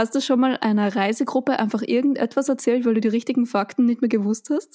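A woman's high-pitched, dark and mellow voice at a fairly quick pace, with fairly even intonation, very even loudness and a dry, close sound with no echo. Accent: Austrian. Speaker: podcast host. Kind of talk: casual chat. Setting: home studio in a pillow fort.

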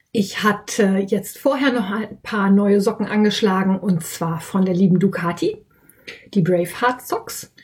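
A woman speaks at a fairly slow pace with a slight Westphalian accent. Her voice is somewhat breathy, at medium pitch with ordinary pitch variation. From Westphalia, Germany. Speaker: podcast host and yarn shop owner. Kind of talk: casual solo podcast monologue.

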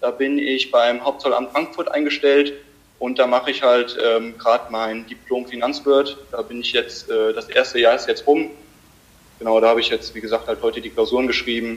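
Noticeable background noise is present. A man talks at a moderate pace. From Germany, Limburg (Hesse). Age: 20s. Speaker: amateur cyclist and dual student. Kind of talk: casual interview. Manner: hesitant, many fillers.

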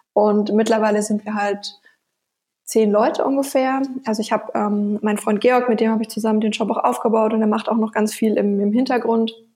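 Her pitch fairly high, a woman speaks at a fairly quick pace with monotone, flat intonation and a dark, mellow tone. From Bavaria, Nuremberg (Franconia). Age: 20s. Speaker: online shop founder. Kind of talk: interview.

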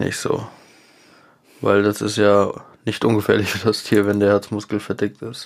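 Pausing long and often, a man with a fairly low pitch speaks at a moderate pace in a monotone, flat intonation. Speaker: cat owner podcast co-host. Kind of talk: casual chat. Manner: partly reading aloud.

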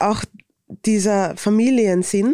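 Very slow and fairly even in intonation, a woman speaks in a Viennese accent with a dark, mellow tone. The recording is very clean with a silent background, and the sound is dry and close with no echo. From Vienna, Austria. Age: 30s. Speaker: influencer and author. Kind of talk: interview.

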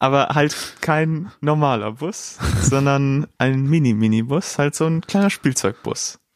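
At a very slow pace, a man talks in a fairly high pitch. His pitch variation is ordinary. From Dortmund, Germany. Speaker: podcast co-host. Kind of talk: casual chat.

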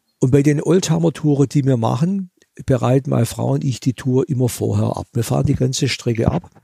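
Somewhat breathy, with a dark, mellow tone, a man with a medium pitch speaks at a moderate pace. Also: dry, close sound with no echo. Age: 70s. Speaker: museum owner and classic car collector. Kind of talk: interview.

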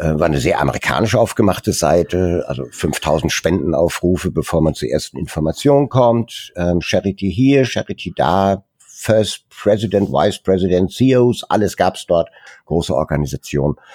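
A man talks at a moderate pace with lively intonation and hardly any pauses. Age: 60s. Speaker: founder of a volunteer photography charity. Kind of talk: interview. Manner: hesitant, many fillers.

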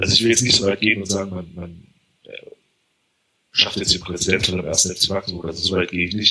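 A man speaks very fast in a very deep, low voice with a bright, sharp tone. His intonation is monotone and flat, broken by long, frequent pauses. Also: big swings in loudness. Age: 30s. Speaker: football fan. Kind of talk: casual chat.

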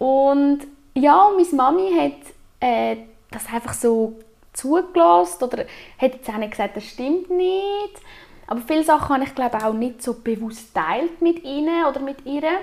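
A woman with a high-pitched voice speaks with very wide pitch swings. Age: 20s. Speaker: aura reader. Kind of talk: interview.

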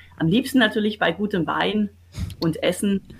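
A woman speaks with lively intonation and vocal fry. The recording is very clean, with a silent background. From Swabia, Baden-Württemberg (Kirchheim unter Teck / Wendlingen). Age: 50s. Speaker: business owner and association president. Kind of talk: interview.

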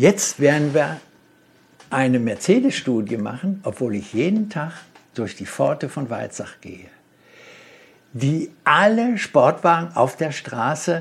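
Using vocal fry, a man speaks at a very slow pace in a fairly high pitch with very wide pitch swings. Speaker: car designer and company founder. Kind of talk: interview. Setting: in person.

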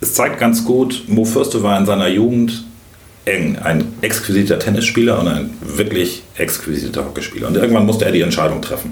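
A man at a fairly quick pace, with noticeable background noise and audible room echo. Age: 50s. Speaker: sales expert. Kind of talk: interview.

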